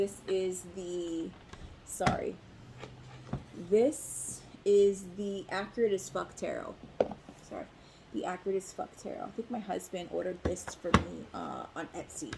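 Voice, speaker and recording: Speaking at a fairly slow pace, a woman leaves long, frequent pauses, her loudness swinging widely over noticeable background noise. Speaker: tarot reader. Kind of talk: tarot reading monologue. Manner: hesitant with fillers.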